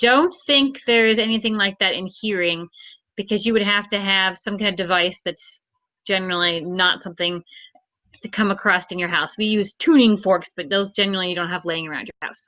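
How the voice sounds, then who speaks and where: In a plain, everyday voice, a woman speaks at a fairly quick pace and medium pitch with ordinary pitch variation. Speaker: teacher. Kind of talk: lecture.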